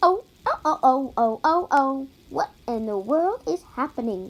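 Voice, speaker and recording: In a put-on character voice, a woman speaks at a high pitch and a fairly slow pace, with very wide pitch swings. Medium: read story.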